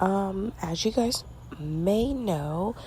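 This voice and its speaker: A woman whispers at a very slow pace. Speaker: podcast host. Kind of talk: casual monologue. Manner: whispering.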